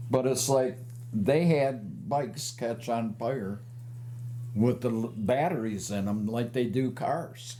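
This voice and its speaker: A man speaks at a very slow pace in a medium pitch. His intonation is fairly even, and the room echo is audible. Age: 70s. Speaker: motorcycle rights advocate. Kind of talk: casual interview.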